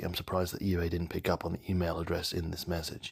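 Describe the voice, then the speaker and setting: Very deep, low man's voice, somewhat breathy and monotone, at a fairly quick pace. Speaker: toy collector video creator. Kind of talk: voice-over commentary. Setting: post-production voice-over.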